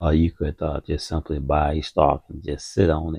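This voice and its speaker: A man speaks with vocal fry, his pitch very deep and low and his intonation monotone and flat. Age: 60s. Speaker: retired stock trader and finance channel host. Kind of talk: casual market commentary. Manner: halting, many fillers and repetitions.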